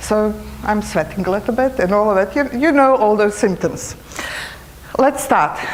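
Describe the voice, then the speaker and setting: With a Serbo-Croatian accent, a woman speaks at a fairly high pitch and a moderate pace, her loudness very even and her pitch variation ordinary, leaving long, frequent pauses over noticeable background noise. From former Yugoslavia. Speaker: cancer retreat trainer. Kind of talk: conference presentation. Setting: conference hall microphone.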